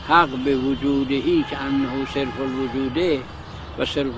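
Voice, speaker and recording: Recorded dry with no echo amid noticeable background noise, the voice moves at a moderate pace with fairly even intonation. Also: man. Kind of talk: lecture. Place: garden. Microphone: lapel.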